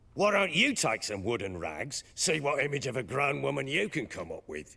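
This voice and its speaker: In a put-on character voice, a man speaks at a moderate pace, raspy and at a medium pitch, with very wide pitch swings. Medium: video game. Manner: gruff, defensive.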